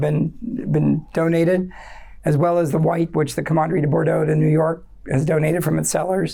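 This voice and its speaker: A woman talks fairly quickly in a dark, mellow tone with a fairly low pitch and vocal fry. The recording is very clean and the background silent. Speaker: wine educator, speaker at forum. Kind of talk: informal presentation to audience. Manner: hesitant, many fillers and repetitions.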